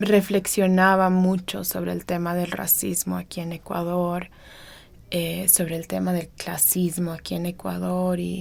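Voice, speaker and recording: Fairly slow speech on a very clean recording with a silent background. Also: woman. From Ecuadorian Amazon (Sarayaku community). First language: Kichwa (also Swedish) (speaking Spanish). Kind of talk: personal testimony interview. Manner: hesitant, many fillers.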